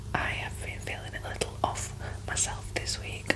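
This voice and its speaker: Background noise is noticeable in this clip. A whispered voice keeps a moderate pace. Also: woman. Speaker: ASMR reiki healer. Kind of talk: ASMR reiki healing roleplay. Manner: soft, gentle, soothing.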